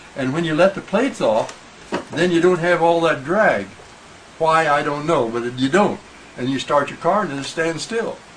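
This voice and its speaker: Noticeable background noise runs beneath a man speaking in a fairly high pitch. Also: lively intonation, moderate pace. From Illinois, US Midwest. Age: 80s+. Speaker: Model T restorer. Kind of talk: casual interview. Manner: halting.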